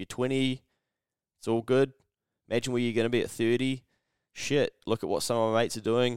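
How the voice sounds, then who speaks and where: A man with a New Zealand accent speaks at a fairly quick pace, leaving long, frequent pauses. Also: medium pitch for a man. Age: 30s. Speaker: podcast host. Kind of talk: casual chat. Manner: animated.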